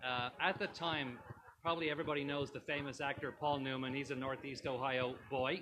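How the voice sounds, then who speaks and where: With an Irish accent, a man talks fairly quickly at a fairly high pitch and with fairly even intonation. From Ireland, Dublin. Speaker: tavern owner. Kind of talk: casual interview chat. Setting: live stream on location in a tavern.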